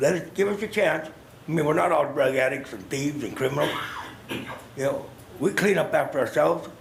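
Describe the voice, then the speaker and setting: At a fairly quick pace, a speaker with an American accent talks amid noticeable background noise and audible room echo. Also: man, fairly high pitch for a man, ordinary pitch variation. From US Pacific Northwest, Salem Oregon. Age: 60s. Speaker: homeless retired veteran, public commenter. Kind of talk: public comment testimony. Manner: plain-spoken, repetitive filler 'you know'.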